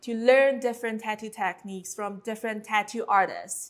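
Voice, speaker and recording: A woman's fairly high-pitched voice in a Chinese accent. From China. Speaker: tattoo artist and mentor. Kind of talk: course introduction. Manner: some hesitations with um.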